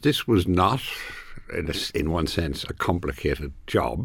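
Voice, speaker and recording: Speaking at a fairly slow pace with an Irish accent, the voice comes through on a very clean recording with a silent background. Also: man. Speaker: business columnist.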